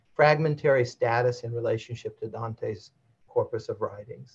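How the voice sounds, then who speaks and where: A somewhat breathy man at a medium pitch, with ordinary pitch variation and a moderate pace. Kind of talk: academic lecture with slides. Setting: video call.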